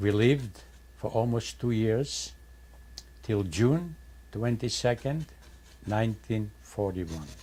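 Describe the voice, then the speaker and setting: A somewhat breathy, dark and mellow voice with lively intonation, a very slow pace, and long, frequent pauses. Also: man, medium pitch for a man. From Poland. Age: 80s+. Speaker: Holocaust survivor. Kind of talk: testimony.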